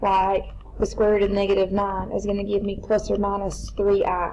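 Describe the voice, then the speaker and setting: A woman talks, and audible room echo surrounds her words. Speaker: math teacher. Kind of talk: lecture. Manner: fast.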